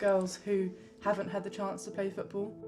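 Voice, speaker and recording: With a southern English accent, a woman speaks at medium pitch in a flat monotone. Audible room echo and noticeable background noise surround her. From southern England, Surrey. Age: 20s. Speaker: amateur footballer. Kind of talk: documentary interview.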